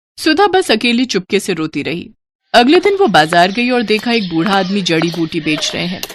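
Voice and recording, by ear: The speaker is a woman with a medium pitch. She moves at a moderate pace with big pitch swings.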